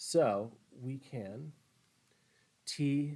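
With ordinary pitch variation, a man is talking. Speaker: physics teacher. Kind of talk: lecture. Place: studio.

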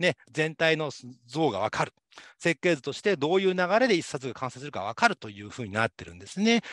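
Talking at a very fast pace against a quiet background, a man with a fairly high pitch makes very wide pitch swings. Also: dry sound with no echo. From Japan, Saitama. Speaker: university lecturer. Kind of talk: lecture. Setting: online class. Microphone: webcam.

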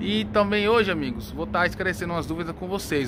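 A man speaks in a raised, projected voice with an animated, upbeat tone. Light background noise can be heard. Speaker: plant seller and vlogger. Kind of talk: casual vlog chat. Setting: outdoors at a busy flower market, walking with camera. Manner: animated, fast, upbeat, sales-patter. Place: market. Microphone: phone near.

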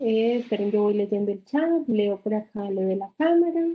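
A woman speaks at a fairly slow pace in a normal speaking voice. Her intonation is lively. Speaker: physiotherapy program coordinator. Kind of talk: orientation talk. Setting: video call. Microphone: video call.

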